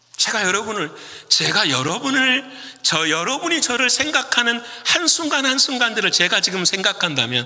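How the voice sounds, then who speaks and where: A man uses a raised, projected voice at a moderate pace with very wide pitch swings, amid audible room echo and noticeable background noise. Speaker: pastor. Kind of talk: sermon. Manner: speeds up when animated.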